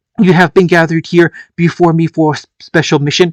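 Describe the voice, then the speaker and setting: Using a put-on character voice, the speaker holds a middle pitch and a monotone, flat intonation at a fairly quick pace. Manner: commanding.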